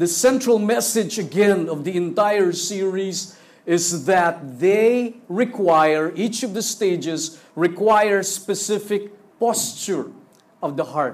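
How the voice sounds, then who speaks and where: At a very slow pace, a man with a high pitch speaks with ordinary pitch variation amid audible room echo. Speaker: pastor. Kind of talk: sermon. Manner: animated. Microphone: sound problems, switched to handheld mic.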